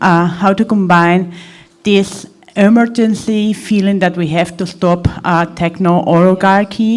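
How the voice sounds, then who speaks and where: Speaking with a non-native accent, a woman talks fairly slowly at a medium pitch with ordinary pitch variation. Noticeable background noise is present. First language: not English. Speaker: audience member asking a question. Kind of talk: audience question. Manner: halting.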